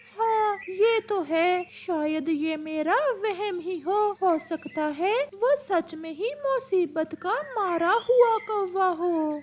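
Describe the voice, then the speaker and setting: An extremely high-pitched cartoonish character voice moves along at a fairly slow pace. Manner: suspicious, protective.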